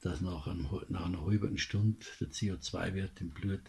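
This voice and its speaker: Speaking at a fairly slow pace, a man with a Bavarian accent has a very deep, low pitch, a dark, mellow tone, a somewhat breathy quality and ordinary pitch variation. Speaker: commentator. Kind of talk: political commentary monologue. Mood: indignant, critical.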